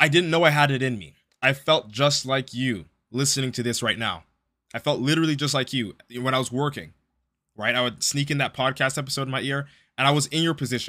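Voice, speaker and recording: A man with a bright, sharp tone at a fairly quick pace, in a very clean recording over a silent background. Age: 20s. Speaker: podcast host and pro bodybuilder. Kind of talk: solo podcast monologue. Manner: casual, filler-heavy.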